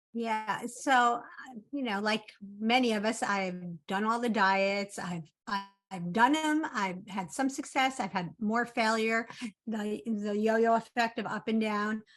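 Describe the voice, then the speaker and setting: A woman's plain, everyday voice, fairly high in pitch, with ordinary pitch variation and a fairly slow pace. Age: 60s. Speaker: coaching client. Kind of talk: testimony.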